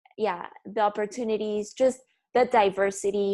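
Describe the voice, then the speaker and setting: A woman with a Spanish accent, a fairly high pitch and fairly even intonation. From Bolivia, La Paz. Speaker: fashion photographer. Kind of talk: podcast interview.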